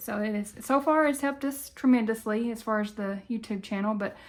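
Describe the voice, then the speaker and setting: Fairly high in pitch, a woman with a Southern US accent talks at a moderate pace in a very clean recording with a silent background. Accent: Southern country. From Tennessee, US South. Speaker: budgeting YouTuber. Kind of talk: casual vlog talk. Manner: halting, many fillers.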